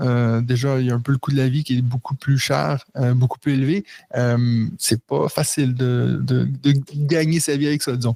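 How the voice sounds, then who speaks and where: Recorded dry and close with no echo, a man speaks with a dark, mellow tone at a very even loudness. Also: medium pitch for a man, ordinary pitch variation, moderate pace. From Quebec. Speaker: board game designer and English teacher. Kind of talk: podcast interview.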